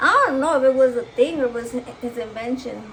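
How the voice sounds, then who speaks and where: Animated and high-pitched, a woman talks with a Spanish accent and ordinary pitch variation. Background noise is noticeable. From Mexico. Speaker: cooking vlogger. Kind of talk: casual chat.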